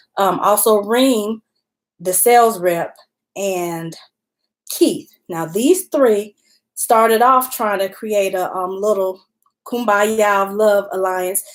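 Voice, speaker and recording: A woman speaks in a Southern US accent at a very slow pace. She leaves long, frequent pauses, with ordinary pitch variation. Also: medium pitch for a woman. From Alabama. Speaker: YouTuber reviewing a TV show while eating. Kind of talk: casual live-stream recap.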